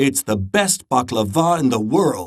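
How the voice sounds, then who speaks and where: His voice is a put-on character voice. The man delivers his lines at a fairly slow pace. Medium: read story. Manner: cheerful, encouraging.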